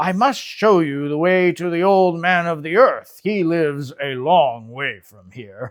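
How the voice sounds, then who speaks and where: A man puts on a character voice at a high pitch, with lively intonation and big swings in loudness. He goes at a fairly slow pace with hardly any pauses, on a very clean recording with a silent background. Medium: read story. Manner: kind, gentle, unhurried.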